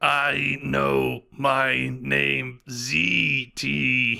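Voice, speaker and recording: Using a put-on character voice, a man delivers his lines at a very deep, low pitch. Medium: actual play. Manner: halting, simple, naive questions.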